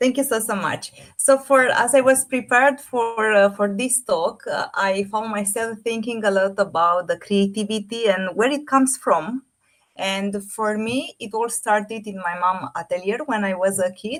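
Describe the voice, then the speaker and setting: A woman speaks in a Romanian accent. Her pace is moderate. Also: fairly high pitch for a woman, ordinary pitch variation. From Romania, Bucharest. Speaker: AI artist and fashion designer. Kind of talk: presentation talk.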